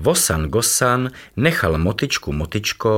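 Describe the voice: Lively intonation over plain reading aloud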